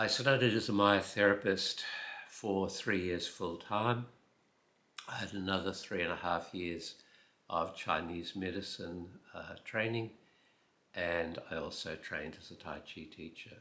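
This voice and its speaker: Bright and sharp in tone, the voice moves at a fairly slow pace with fairly even intonation and big swings in loudness. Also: man, fairly low pitch for a man. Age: 80s+. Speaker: retired health professional. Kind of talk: casual talk to camera.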